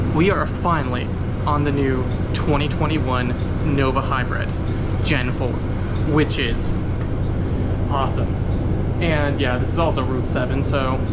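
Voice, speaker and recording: Delivered at a fairly slow pace with long, frequent pauses, the speech sits over loud background noise. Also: man. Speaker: transit enthusiast vlogger. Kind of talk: casual vlog chat. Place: bus. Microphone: phone near.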